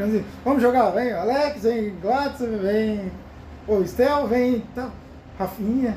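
A man's extremely high voice at a very slow pace, with audible room echo. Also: ordinary pitch variation. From Paraná, southern Brazil. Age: 30s. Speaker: football commentator among coworkers. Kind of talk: casual chat.

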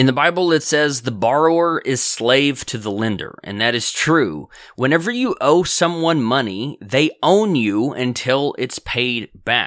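A man's unremarkable speaking voice, fairly high in pitch, with lively intonation, a fairly slow pace and hardly any pauses, on a very clean recording with a silent background. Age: 30s. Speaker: podcast host and entrepreneur. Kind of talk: solo monologue. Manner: conversational, some repetitions and restarts.

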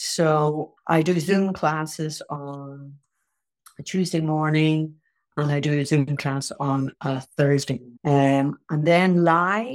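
A woman speaks in an Irish accent. Her voice is very deep and low, with ordinary pitch variation. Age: 60s. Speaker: tai chi and qigong teacher. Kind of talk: casual chat.

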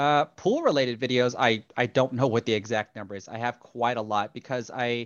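Speaking in a plain, everyday voice, a man stays at a medium pitch and uses ordinary pitch variation. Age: 30s. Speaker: YouTube pool instructor. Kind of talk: interview.

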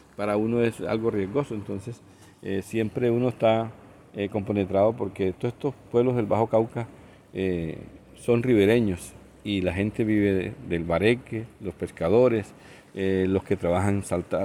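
With a dark, mellow tone, a man speaks at a fairly low pitch and a moderate pace, keeping his intonation fairly even. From Colombian Caribbean coast, Sucre. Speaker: radio station director. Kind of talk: interview.

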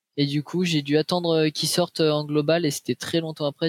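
Dry and close with no echo, the recording has a man speaking fairly quickly at a fairly high pitch with fairly even intonation. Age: 20s. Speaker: esports player. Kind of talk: interview. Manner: halting.

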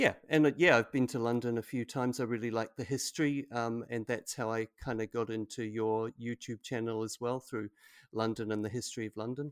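A man's medium-pitched, fairly quick speech in a New Zealand accent, with a dry, close sound and no echo. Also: fairly even intonation. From New Zealand, Auckland. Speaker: English language teacher. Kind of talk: casual chat. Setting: video call.

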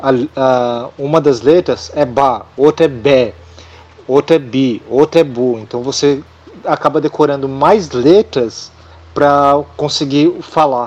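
Very slow speech from a man, pitched fairly high. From Brazil. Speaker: podcast guest. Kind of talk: casual chat.

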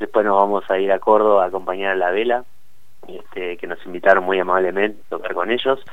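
A man with a fairly low voice speaks very fast in a flat, monotone delivery. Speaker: musician. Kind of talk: interview. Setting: phone call.

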